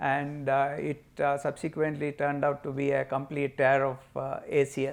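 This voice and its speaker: Fairly high in pitch, a man talks at a moderate pace. His intonation is flat and monotone. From India, coastal Karnataka (Mangalore/Udupi). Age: 60s. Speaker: patient, business owner and amateur athlete. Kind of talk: testimony. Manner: hesitant, frequent fillers.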